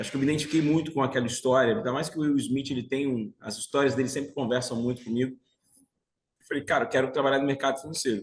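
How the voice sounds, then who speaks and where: A man speaks at a very fast pace with a fairly high pitch. His voice is somewhat breathy. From Brazil, Bahia (Salvador). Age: 40s. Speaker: financial market professional. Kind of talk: interview, telling life story.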